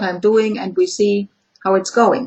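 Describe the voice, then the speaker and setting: A woman with a German accent speaks at a fairly high pitch. Her pace is moderate and her pitch varies in an ordinary way. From Germany. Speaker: clinical psychologist. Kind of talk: interview. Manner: halting.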